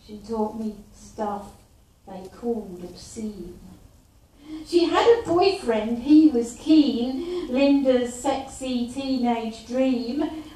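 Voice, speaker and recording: A woman's high-pitched voice at a very slow pace, big swings in loudness, audible room echo. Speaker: poet and performer. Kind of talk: spoken word poetry performance. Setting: live stage performance. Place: stage. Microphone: camera far.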